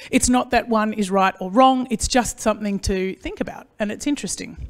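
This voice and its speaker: A woman with an Australian accent speaks at a fairly quick pace with ordinary pitch variation. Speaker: agricultural consultant and speaker. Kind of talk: conference presentation. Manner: fast; animated.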